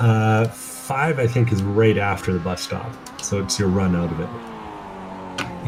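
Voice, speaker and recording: A man's very deep, low voice with a strong Canadian accent and lively intonation, audible room echo and music in the background. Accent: thick rural Canadian. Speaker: sim racing commentator. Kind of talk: live commentary.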